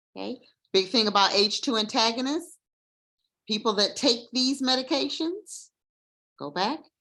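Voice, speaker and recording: A woman speaks at a fairly high pitch with a bright, sharp tone and vocal fry. Her intonation is lively, broken by long, frequent pauses. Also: moderate pace. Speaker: nursing educator. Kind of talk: lecture. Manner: conversational.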